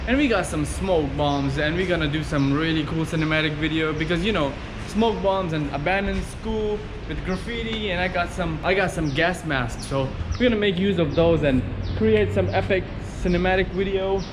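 Lively intonation from a man at a fairly quick pace, over noticeable background noise. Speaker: video creator. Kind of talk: casual vlog chat. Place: street. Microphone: phone near.

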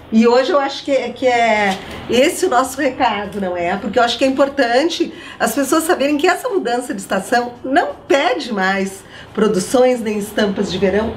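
Over light background noise, a woman with a high pitch speaks at a moderate pace, her pitch swinging very widely. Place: shop.

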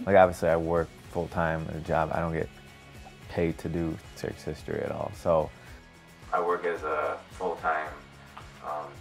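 The man keeps a moderate pace while music runs in the background. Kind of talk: interview answer.

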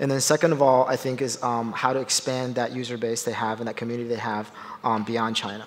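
Talking at a fairly quick pace, a man keeps to monotone, flat intonation. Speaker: finance executive. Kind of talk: panel discussion. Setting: conference stage with audience. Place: stage. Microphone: headset.

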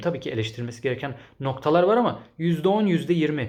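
In a room with audible echo, a man sounds animated and somewhat breathy, his intonation lively. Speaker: English teacher and language-learning youtuber. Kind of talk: solo video commentary reading viewer comments.

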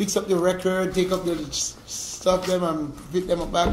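At a moderate pace, a man with a high pitch speaks through noticeable background noise. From Jamaica. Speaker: reggae singer. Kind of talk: casual interview.

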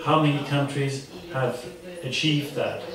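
A man at a moderate pace and fairly high pitch, with noticeable background noise and audible room echo. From Austria. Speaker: diplomat. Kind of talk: panel discussion. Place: meeting room.

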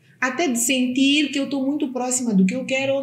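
Somewhat breathy, a woman talks at a fairly quick pace with audible room echo. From Mozambique. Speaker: podcast host. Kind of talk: casual interview chat. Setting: studio. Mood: warm, engaged. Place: studio.

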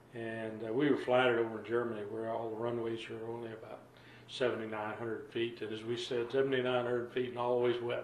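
A man's monotone, flat delivery at a moderate pace, with audible room echo and light background noise. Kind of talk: interview answer. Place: home room.

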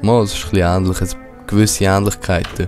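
With music in the background, a man with a Swiss accent speaks at a fairly low pitch. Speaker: let's play gamer. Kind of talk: casual gameplay commentary.

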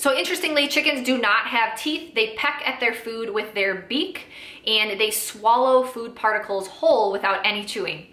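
A woman at a moderate pace with ordinary pitch variation, in audible room echo. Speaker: small farm educator. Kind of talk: educational explainer to camera. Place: home room.

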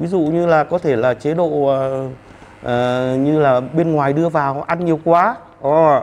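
His speech carries ordinary pitch variation, and the speaker is a man. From Vietnam. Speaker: traditional medicine doctor. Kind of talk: panel discussion. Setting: studio. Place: stage. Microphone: handheld.

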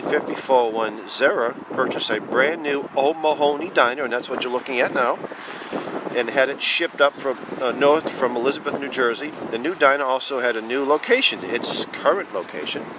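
A man speaks at a fairly quick pace with ordinary pitch variation. The sound is dry with no echo, though background noise is noticeable. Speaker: diner patron or local narrator. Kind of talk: casual history commentary. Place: street. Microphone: phone near.

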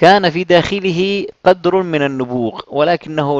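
An ordinary speaking voice from a man with a fairly high pitch and ordinary pitch variation. He speaks fairly slowly in a dry, close sound with no echo. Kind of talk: audiobook narration, reading aloud a translated history book. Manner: formal, measured, steady literary delivery; occasionally breaks off to clarify a phrase in his own words.

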